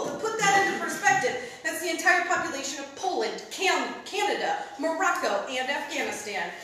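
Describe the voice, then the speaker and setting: There is noticeable background noise as a woman speaks. Her tone is intense and her pace moderate. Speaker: spoken word poet, competitor. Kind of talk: spoken word poetry performance. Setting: stage with audience. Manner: intense, emotional.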